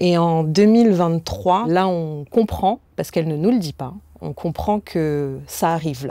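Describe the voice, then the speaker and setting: A woman's very deep, low voice with a dark, mellow tone, a fairly slow pace and ordinary pitch variation. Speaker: kidney donor. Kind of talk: testimony. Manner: halting.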